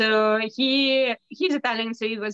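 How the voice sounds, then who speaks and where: With a Russian accent, a woman speaks at a fairly high pitch. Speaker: bookbinder's wife. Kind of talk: casual chat.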